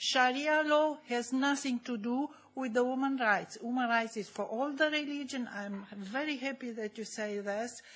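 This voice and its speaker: A woman speaks in a high pitch with ordinary pitch variation and hardly any pauses. Audible room echo surrounds her voice. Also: moderate pace. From Germany. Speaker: audience member asking a question. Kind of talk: Q&A question from the floor. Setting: conference hall. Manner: halting, many fillers.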